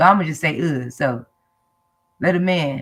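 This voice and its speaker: A woman's animated tone with vocal fry. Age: 60s. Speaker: live stream host. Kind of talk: casual chat.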